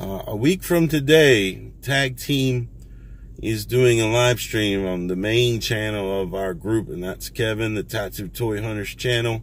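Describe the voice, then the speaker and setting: A man speaks fairly slowly at a fairly low pitch with ordinary pitch variation. The sound is dry, with no echo. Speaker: toy collector vlogger. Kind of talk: casual vlog chat. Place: car. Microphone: phone near.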